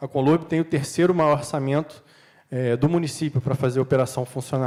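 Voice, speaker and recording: A man at medium pitch with a fairly quick pace. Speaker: panel speaker from city waste management company. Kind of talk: conference panel talk. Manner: fast.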